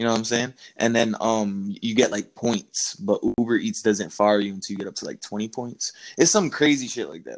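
A man with an American accent talks at a moderate pace and a medium pitch. His is an unremarkable speaking voice, with big swings in loudness. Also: ordinary pitch variation. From Florida. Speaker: podcast co-host. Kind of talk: casual chat.

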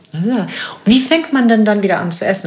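Against noticeable background noise and audible room echo, a woman speaks at a medium pitch with lively intonation. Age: 50s. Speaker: podcast host. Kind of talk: casual interview. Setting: in person in Berlin.

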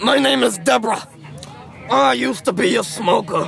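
A man puts on a character voice with a high pitch and very wide pitch swings. Clear background noise can be heard. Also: moderate pace.

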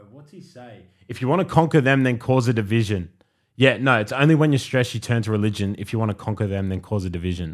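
Speaking very fast in an Australian accent, a man at medium pitch shows ordinary pitch variation and big swings in loudness in a very clean recording with a silent background. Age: 20s. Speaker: podcast host. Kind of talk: casual chat.

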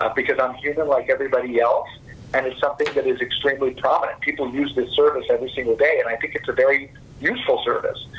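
With an American accent, a man talks at a very fast pace against noticeable background noise. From Texas, Fort Worth. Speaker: investment conference founder. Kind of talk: business interview.

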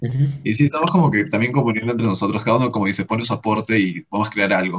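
A man speaks at a medium pitch in an unremarkable speaking voice, with ordinary pitch variation. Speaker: punk band vocalist. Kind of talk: casual interview.

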